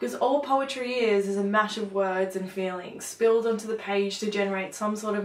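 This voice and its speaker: A woman with an ordinary speaking voice keeps to a medium pitch and a moderate pace. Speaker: poet. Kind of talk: spoken word poetry performance.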